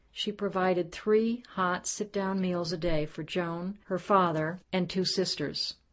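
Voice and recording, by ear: Someone reads aloud in a natural voice. The pitch holds fairly even throughout.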